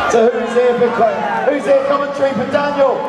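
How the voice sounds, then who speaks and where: A man speaks at a fairly slow pace. Room echo is audible, with crowd noise behind him. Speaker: event commentator. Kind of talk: live sports commentary. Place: hall.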